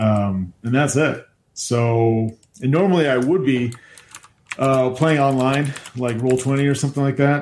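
A man uses a normal speaking voice of medium pitch with ordinary pitch variation. His pace is fairly slow and his loudness very even. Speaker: game designer and co-host. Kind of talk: casual chat. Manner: joking, sarcastic.

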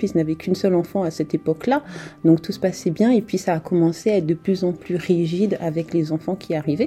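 This woman has a fairly low pitch. Noticeable background noise can be heard. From France. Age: young. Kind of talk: testimony. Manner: animated.

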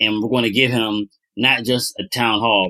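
At a moderate pace, a man with an American accent speaks in a bright, sharp tone, recorded dry and close with no echo. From US, Pittsburgh. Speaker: podcast co-host, studio founder. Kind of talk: casual chat.

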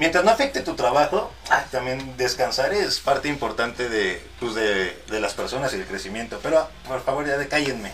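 This man's voice sits at a medium pitch with lively intonation, moving at a moderate pace with hardly any pauses. Noticeable background noise runs underneath. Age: 30s. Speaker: mariachi musician and content creator. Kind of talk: casual interview chat.

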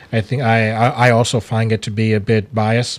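The man speaks with an American accent, medium in pitch and moderate in pace. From Ohio, US Midwest. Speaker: graduate divinity student. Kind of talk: interview. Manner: halting.

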